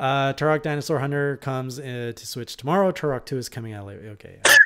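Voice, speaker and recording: A man talks at a very fast pace in a bright, sharp tone, with big swings in loudness and ordinary pitch variation. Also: medium pitch for a man. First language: French. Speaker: gaming podcast host. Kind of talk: casual chat.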